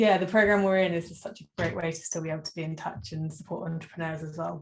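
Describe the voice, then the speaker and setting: A woman speaks very fast in a British accent. Her voice is fairly low in pitch and somewhat breathy. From United Kingdom. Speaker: business coach. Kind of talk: interview.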